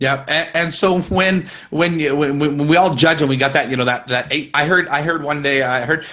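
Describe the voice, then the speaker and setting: Against a quiet background, a man talks at a fairly quick pace and fairly high pitch, his bright, sharp tone showing ordinary pitch variation. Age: 30s. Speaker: magician interviewing a guest; interview guest. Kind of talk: casual interview. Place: home room. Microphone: earbuds.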